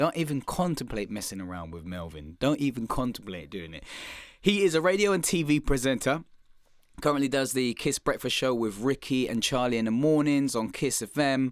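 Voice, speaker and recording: A man speaks with a London accent in an animated tone, his pitch swinging very widely. The recording is very clean, with a silent background. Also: medium pitch for a man. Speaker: podcast host and comedian. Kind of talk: podcast intro monologue. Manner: fast.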